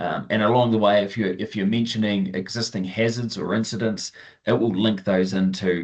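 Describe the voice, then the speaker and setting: Against a quiet background, a man speaks in a Southern New Zealand accent. His pitch is fairly low and his pace moderate. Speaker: farm software trainer. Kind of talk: webinar tutorial. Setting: online webinar. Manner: casual, many fillers. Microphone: video call.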